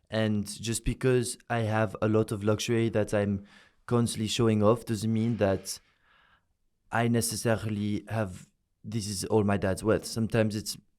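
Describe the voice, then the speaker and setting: A man with a French accent speaks at a moderate pace in a flat monotone and a fairly low pitch, recorded very cleanly with a silent background. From France, Paris. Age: young. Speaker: social media influencer. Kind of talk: interview.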